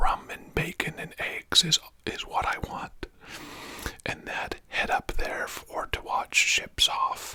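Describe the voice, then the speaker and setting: Whispering in a gentle tone at a very slow pace, with noticeable background noise behind it. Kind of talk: whispered audiobook-style reading of a novel, ASMR. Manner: whispered, gentle, relaxing.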